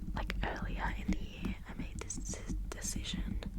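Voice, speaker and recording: A woman whispers at a fairly slow pace. Background noise is noticeable throughout. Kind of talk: whispered ASMR ramble about life updates. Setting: recorded at home for ASMR channel. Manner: slow, hesitant, reflective with pauses.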